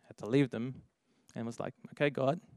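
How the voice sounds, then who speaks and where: A man with a Dutch accent, in a dry, close sound with no echo. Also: very clean recording, silent background. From Netherlands. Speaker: young adults leader. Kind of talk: sermon. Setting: church.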